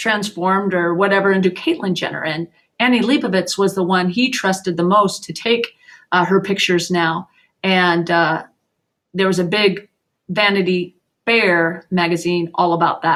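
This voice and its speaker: On a very clean recording with a silent background, a woman uses an ordinary speaking voice at a medium pitch, with fairly even intonation and a moderate pace. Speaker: teacher. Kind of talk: lecture.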